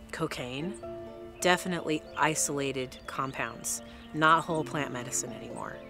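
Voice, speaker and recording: Clear music plays behind a woman whose pitch is very deep and low, speaking at a moderate pace. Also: dry sound with no echo. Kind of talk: interview answer. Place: open country.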